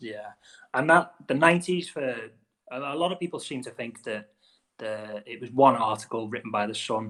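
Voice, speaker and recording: On a very clean recording with a silent background, a man with a Wirral accent speaks at a moderate pace and medium pitch, his tone bright and sharp, with lively intonation and big swings in loudness. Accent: Scouse-like Wirral. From the Wirral, England. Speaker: podcast host. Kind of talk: podcast interview.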